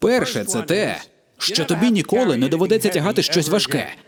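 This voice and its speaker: Against noticeable background noise, a man with a high voice talks at a moderate pace. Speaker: voice-over artist. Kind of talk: stand-up comedy dub. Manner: comedic, crude. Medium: dub.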